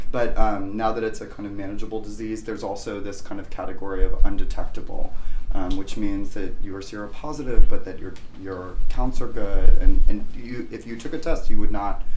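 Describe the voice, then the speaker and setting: A man talks at a fairly quick pace with music in the background. His loudness swings widely from moment to moment. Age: 30s. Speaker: moderator and art historian. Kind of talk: panel discussion. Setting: living room with audience. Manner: halting.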